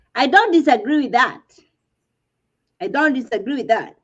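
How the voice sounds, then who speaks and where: A woman's high voice in a Kenyan accent, with very wide pitch swings. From Kenya, rural village. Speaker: reality TV panelist. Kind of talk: casual panel discussion. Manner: animated.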